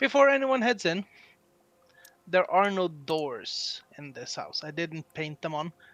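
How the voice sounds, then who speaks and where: A woman talks at a very slow pace with medium pitch and very wide pitch swings. The sound is dry and close with no echo, and the background is quiet. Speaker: dungeon master. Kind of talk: tabletop role-play narration. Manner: halting.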